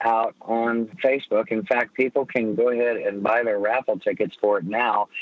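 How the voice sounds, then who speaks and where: Here a man with an ordinary speaking voice talks at a moderate pace and medium pitch. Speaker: former motorcycle racer, charity organizer. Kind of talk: casual chat. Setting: phone call.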